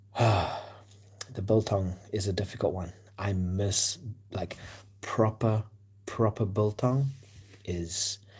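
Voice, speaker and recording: A man's somewhat breathy, fairly low voice at a very slow pace, with fairly even intonation and long, frequent pauses, on a very clean recording with a silent background. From South Africa, Cape Town. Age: 30s. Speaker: sports livestreamer. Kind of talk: casual chat. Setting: livestream at night. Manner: hesitant, many fillers.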